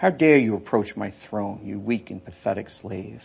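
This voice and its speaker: A man growls and hisses in a put-on character voice, fairly low in pitch, at a moderate pace. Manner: hissing, menacing, contemptuous.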